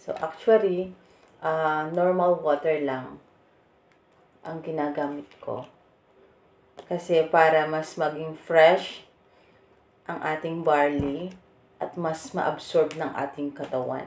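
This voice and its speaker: A woman with a very deep, low pitch, fairly even intonation, big swings in loudness, a very slow pace and long, frequent pauses. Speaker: vlogger. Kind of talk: product demo vlog. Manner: casual, chatty.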